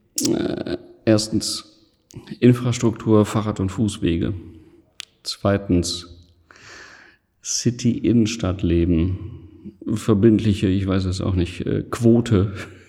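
A man's dark, mellow, somewhat breathy voice at a very slow pace, with long, frequent pauses. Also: fairly low pitch for a man, fairly even intonation. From Essen, Ruhr area, Germany. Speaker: gallery owner. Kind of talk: interview.

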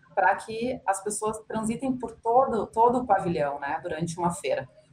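This woman's moderate pace and ordinary pitch variation come in a normal speaking voice. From São Leopoldo, Rio Grande do Sul, Brazil. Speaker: business administrator, retail researcher. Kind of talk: casual chat.

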